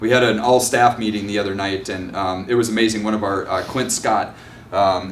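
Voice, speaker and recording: The speaker talks fairly quickly in a Minnesotan accent, with monotone, flat intonation. Audible room echo and noticeable background noise surround the voice. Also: man. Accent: Minnesota. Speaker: nonprofit executive director. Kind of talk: presentation at community meeting. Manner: halting, many fillers.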